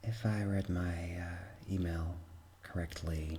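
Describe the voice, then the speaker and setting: Over noticeable background noise, a soft-spoken man with a very deep, low pitch talks in a soothing, calm tone with fairly even intonation. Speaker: ASMR artist doing medical roleplay. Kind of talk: ASMR roleplay, personal attention. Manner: soothing, soft, calm.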